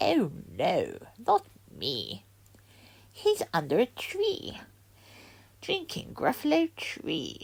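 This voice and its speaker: A woman's put-on character voice at a very slow pace, with long, frequent pauses. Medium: read story.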